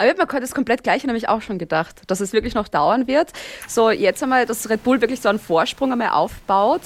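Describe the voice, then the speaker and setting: Over noticeable background noise, a woman with an Austrian accent speaks at a very fast pace with ordinary pitch variation. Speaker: Formula 1 podcaster. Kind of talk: casual chat. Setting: video call.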